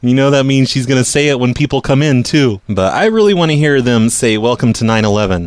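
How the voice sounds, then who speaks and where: The clip has a normal speaking voice. Its pitch variation is ordinary. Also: man. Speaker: prank caller and podcast host. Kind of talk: prank call, posing as a corporate boss. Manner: feigned-authority, insistent.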